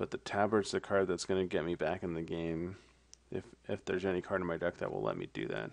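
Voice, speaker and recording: The pace is very fast. The pitch variation is ordinary. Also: man, very deep, low pitch for a man. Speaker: card game player reviewing matches. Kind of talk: gameplay commentary. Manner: casual, thinking aloud.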